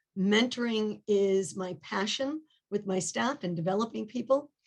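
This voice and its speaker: A woman with a New England accent speaks in a fairly high voice. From New England, Rhode Island. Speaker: nephrology nurse, board candidate. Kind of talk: self-introduction in webinar. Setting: video call webinar.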